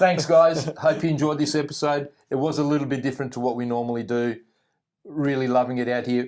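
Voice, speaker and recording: Fairly quick and fairly even in intonation, a man speaks. He has an Australian accent. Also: very clean recording, silent background. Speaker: travel vlogger. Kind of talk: casual chat.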